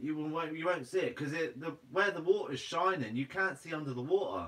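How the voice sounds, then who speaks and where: In a Guernsey accent, a man talks at a very fast pace with a fairly high pitch and lively intonation. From Guernsey, Channel Islands. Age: 20s. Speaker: fishing and foraging YouTuber; livestream host. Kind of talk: livestream Q&A reading viewer comments. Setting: live stream. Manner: casual, laughs often; sometimes blunt. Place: home room.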